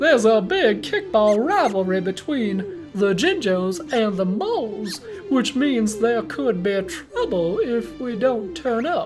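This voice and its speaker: Clear music plays in the background as a man performs a put-on character voice. It is pitched extremely high and delivered at a fairly slow pace. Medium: game stream. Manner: casual, friendly.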